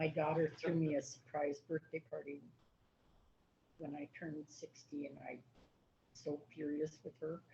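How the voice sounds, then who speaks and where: Her very deep, low voice has a dark, mellow tone and a somewhat breathy quality, delivered in a flat monotone at a fairly slow pace with long, frequent pauses and big swings in loudness. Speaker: county commissioner. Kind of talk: casual chat.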